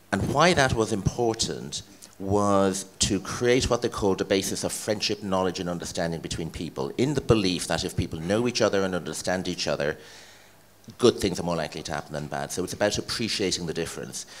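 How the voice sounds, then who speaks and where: A man speaks with an Irish accent and a very deep, low pitch. His pace is fairly quick and his intonation lively. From Ireland. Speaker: head of a cultural organisation. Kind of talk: interview.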